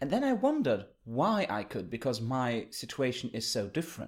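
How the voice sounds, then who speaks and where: Very wide pitch swings from a man, on a very clean recording with a silent background. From Germany. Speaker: podcast host, book reviewer. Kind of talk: casual book discussion.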